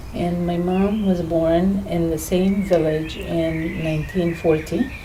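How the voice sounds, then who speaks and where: Against noticeable background noise, a woman talks at a very slow pace in a fairly low, monotone voice with flat intonation. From Lebanon, Palestinian family. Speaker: interviewee. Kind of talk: personal testimony.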